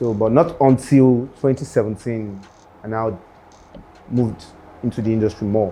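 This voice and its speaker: Speaking with a Nigerian accent, a man keeps a fairly even intonation and leaves long, frequent pauses. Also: medium pitch for a man, moderate pace. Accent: Nigerian (Yoruba) English. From Nigeria, Ondo State. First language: Yoruba. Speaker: rapper. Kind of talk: interview.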